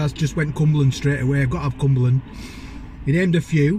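The very fast speech sounds dry with no echo, over light background noise. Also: man. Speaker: food reviewer. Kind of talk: casual vlog chat. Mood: cheerful, enthusiastic. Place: car. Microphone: phone near.

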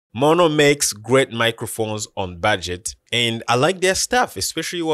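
Against a quiet background, a man's voice swings very widely in pitch, with a dry sound and no echo. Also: moderate pace. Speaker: tech reviewer. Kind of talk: product review talk. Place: studio. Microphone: studio mic.

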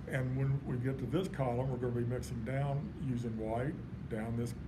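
Speech moves at a fairly quick pace. Noticeable background noise runs underneath. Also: man. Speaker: art teacher. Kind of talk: tutorial. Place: classroom. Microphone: camera far.

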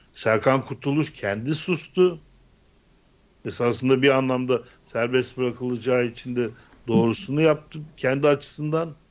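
This is a man speaking. His pace is moderate and his pitch variation ordinary. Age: 60s. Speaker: political commentator. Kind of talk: political panel discussion. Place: home room. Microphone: studio mic.

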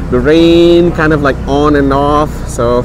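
The recording is dry with no echo, though there is noticeable background noise. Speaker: tour guide. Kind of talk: casual vlog commentary. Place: street.

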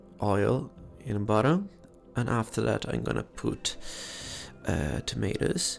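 With music in the background, a man speaks very slowly in a fairly low voice, his pitch swinging very widely. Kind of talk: ASMR cooking video, casual talk to camera. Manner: whispered, soft-spoken.

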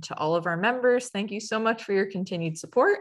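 A woman talks at a fairly quick pace, and the background stays quiet. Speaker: educator, webinar host. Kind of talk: webinar introduction. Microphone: webcam.

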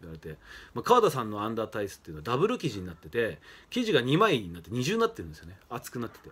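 Talking at a very fast pace, a man with a medium pitch makes very wide pitch swings and big swings in loudness. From Japan, Fukushima; Japan. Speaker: professional wrestler. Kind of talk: casual monologue. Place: home room. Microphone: phone near.

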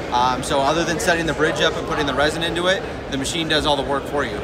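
Against loud background noise, a man talks at a very fast pace in a dry sound with no echo. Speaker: glass repair tool company rep. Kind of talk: product demonstration. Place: hall. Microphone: phone near.

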